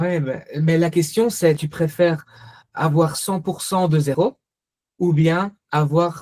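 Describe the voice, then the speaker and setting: Speaking very slowly with a Belgian accent, a man keeps a fairly even intonation at a high pitch. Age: 30s. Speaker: investor and finance coach. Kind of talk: Q&A in online workshop.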